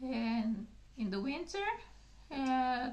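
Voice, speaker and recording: A woman with a high-pitched voice speaks amid audible room echo. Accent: Bulgarian. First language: Bulgarian. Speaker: gardening channel host. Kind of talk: casual video talk. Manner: halting, many fillers.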